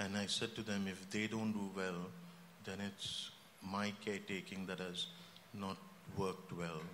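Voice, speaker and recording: In a room with audible echo, a man speaks in a fairly low voice with monotone, flat intonation. His speech has long, frequent pauses. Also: fairly slow pace. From India. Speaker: church member and healthcare director. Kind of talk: panel discussion. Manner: halting, with many fillers.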